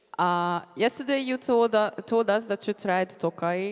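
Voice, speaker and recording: In a Hungarian accent, a woman speaks with ordinary pitch variation. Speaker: convention panel moderator. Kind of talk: convention panel interview. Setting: stage with audience.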